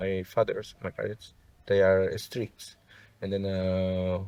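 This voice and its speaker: A man at a fairly slow pace. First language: Spanish. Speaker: sound healer. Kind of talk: interview. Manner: halting.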